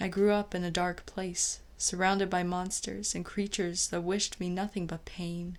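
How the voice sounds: What you hear is a natural reading voice.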